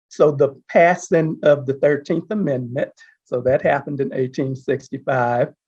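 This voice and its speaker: A man with an American accent speaks at a moderate pace in a somewhat breathy voice, fairly high pitched with ordinary pitch variation. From Texas, Houston. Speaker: panel guest. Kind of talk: panel discussion.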